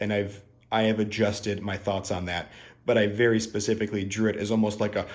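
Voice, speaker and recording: A man with a Midwestern accent speaks in a fairly low pitch. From US Midwest. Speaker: tarot artist and channel host. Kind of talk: video tutorial walkthrough. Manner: casual, filler-heavy.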